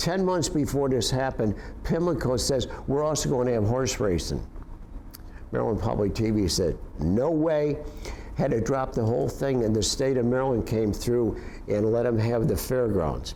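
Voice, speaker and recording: A man's medium-pitched voice with an upstate New York accent, moderate pace, lively intonation and very even loudness, plus audible room echo and noticeable background noise. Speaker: Vietnam War veteran. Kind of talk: personal storytelling interview. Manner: halting with many fillers and repetitions.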